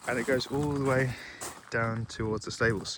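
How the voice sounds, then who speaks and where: Over noticeable background noise, a man speaks at a fairly slow pace. His intonation stays fairly even. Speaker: homeowner vlogger. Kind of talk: casual walkthrough vlog. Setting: outdoors. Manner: quiet.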